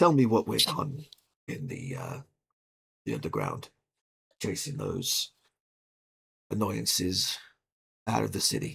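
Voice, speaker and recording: Putting on a character voice, a man speaks raspily at medium pitch and a fairly slow pace, with long, frequent pauses. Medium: actual play. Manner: dry, measured.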